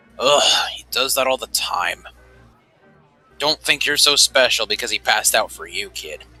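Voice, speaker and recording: A man's gravelly, put-on character voice at a moderate pace, with long, frequent pauses and faint music in the background. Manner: dismissive, gruff.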